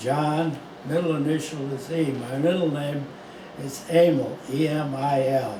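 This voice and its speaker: A man with an American accent speaks at a fairly high pitch in a monotone, flat way. Noticeable background noise and audible room echo fill the recording. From US Midwest, St. Louis County, Missouri. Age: 90s. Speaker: longtime local resident. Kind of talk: oral history interview. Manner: halting, many fillers.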